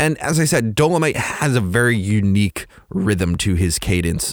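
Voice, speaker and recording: With an ordinary speaking voice, a man of fairly low pitch uses lively intonation on a very clean recording with a silent background. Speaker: podcast host and movie reviewer. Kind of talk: solo podcast monologue, scripted review.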